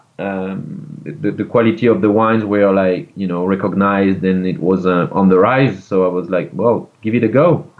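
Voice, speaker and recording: A man with a French accent, fairly low pitch, ordinary pitch variation, moderate pace, and hardly any pauses. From France. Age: 30s. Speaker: winemaker. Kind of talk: interview. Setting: video call.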